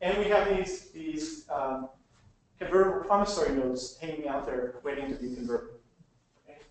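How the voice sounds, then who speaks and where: A man talks at a fairly quick pace with lively intonation and a fairly high pitch. Audible room echo surrounds his voice. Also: big swings in loudness. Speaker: business lawyer presenting a workshop. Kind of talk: lecture. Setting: workshop with live audience and webinar. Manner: fast; halting.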